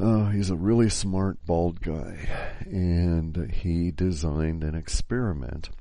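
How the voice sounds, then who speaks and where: This quiet man's voice has a very deep, low pitch and ordinary pitch variation. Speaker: podcast host. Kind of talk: solo podcast monologue. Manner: quiet, hushed; halting, many fillers.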